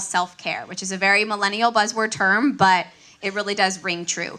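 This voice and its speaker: A woman's medium-pitched voice at a moderate pace over noticeable background noise. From Miami, Florida. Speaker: registered dietitian. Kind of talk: conference talk.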